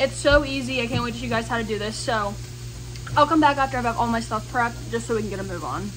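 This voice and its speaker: A woman talks at a very fast pace. Music plays in the background. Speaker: home cook vlogger. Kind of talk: casual cooking tutorial chat. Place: kitchen. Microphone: phone near.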